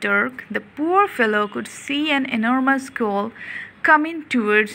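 A reading voice that sounds natural

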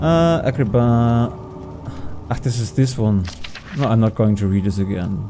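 Noticeable background noise accompanies a man talking at a moderate pace with long, frequent pauses. His medium pitch has ordinary variation. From Germany. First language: German. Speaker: gaming youtuber. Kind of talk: casual gameplay commentary. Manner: halting, searching for words; chatty, self-deprecating.

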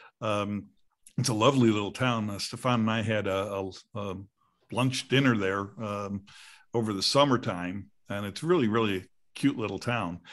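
Against a quiet background, the speech keeps a moderate pace and ordinary pitch variation, broken by long, frequent pauses. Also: man, fairly low pitch for a man. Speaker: podcast host. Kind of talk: casual chat. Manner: rambling, many filler words. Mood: cheerful, chatty. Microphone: video call.

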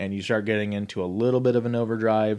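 In an ordinary speaking voice, a man with a fairly low pitch talks with fairly even intonation against a quiet background. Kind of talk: tutorial. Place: studio.

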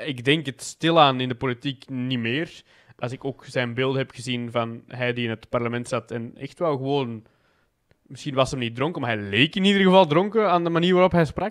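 This man talks at a moderate pace with a medium pitch, lively intonation and an Antwerp accent. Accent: Antwerp-flavoured Flemish tussentaal. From Belgium, Antwerp. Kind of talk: casual chat.

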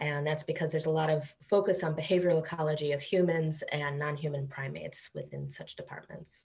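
Somewhat breathy, a woman with an American accent talks at a moderate pace. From Chicago area, US. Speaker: primatologist professor. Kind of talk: interview. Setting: video call.

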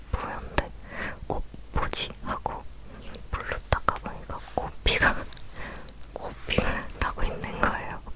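A woman whispers very slowly with long, frequent pauses as noticeable background noise carries on. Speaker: ASMR creator. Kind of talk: whispered talking ASMR, casual personal story. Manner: whispered.

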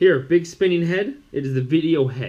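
This is a man speaking at a moderate pace. His pitch varies in an ordinary way. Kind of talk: tutorial. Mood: pleased, upbeat. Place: home room. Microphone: camera far.

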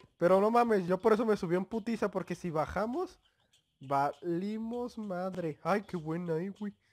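A man with a Mexican accent and a high pitch speaks at a moderate pace with ordinary pitch variation, in a very clean recording with a silent background. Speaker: gaming youtuber. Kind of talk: gameplay commentary. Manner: animated.

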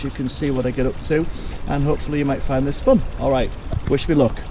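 Against noticeable background noise, a man speaks at a very fast pace, the sound dry with no echo. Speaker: home DIY vlogger. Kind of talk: casual vlog chat. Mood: cheerful, self-deprecating. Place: garden. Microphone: phone near.

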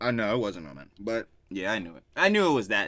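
Very fast, animated delivery with a bright, sharp tone, a dry sound with no echo and a quiet background. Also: man. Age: 20s. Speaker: reaction video youtuber. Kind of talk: casual reaction chat.

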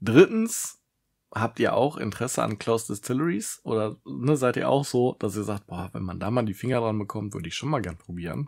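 Vocal fry runs through this voice at a moderate pace with lively intonation. The background is quiet. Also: man. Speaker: whisky reviewer, video creator; whisky reviewer. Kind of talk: solo tasting review vlog. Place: home room. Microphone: studio mic.

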